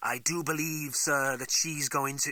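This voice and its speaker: In a put-on character voice, a man speaks at a moderate pace with a fairly high pitch and a monotone, flat intonation. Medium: read story. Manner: formal, polite.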